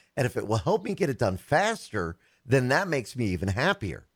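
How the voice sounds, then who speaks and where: A man's voice swings very widely in pitch and has vocal fry, on a very clean recording with a silent background. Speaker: tech radio host. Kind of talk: casual chat about technology.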